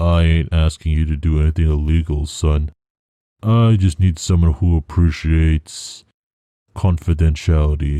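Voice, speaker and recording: A man speaks in a put-on character voice, very deep and low, at a moderate pace with very even loudness and fairly even intonation. The recording is very clean, with a silent background. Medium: read story. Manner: curt, gruff.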